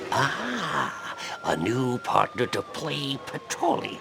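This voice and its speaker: Over clear background noise, someone uses a put-on character voice at a very slow pace. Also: man. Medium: machinima. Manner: wheedling, jovial.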